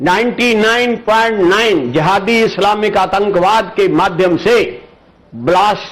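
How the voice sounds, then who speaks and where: This man's voice is high-pitched, with ordinary pitch variation and very even loudness. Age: 80s+. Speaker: political commentator. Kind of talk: interview.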